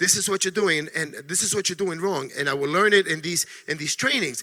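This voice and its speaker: A man with a New York accent talks at a very fast pace in a high pitch, his voice raised and projected. His tone is animated, and there is noticeable background noise. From New York City. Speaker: network marketing distributor. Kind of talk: motivational training talk.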